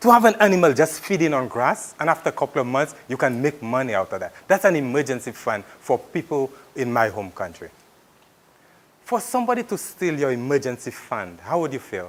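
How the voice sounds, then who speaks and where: A man with fairly high pitch speaks at a fairly quick pace, his voice making very wide pitch swings. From Saint Lucia. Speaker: migrant farmworker advocate. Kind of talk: public talk. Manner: animated.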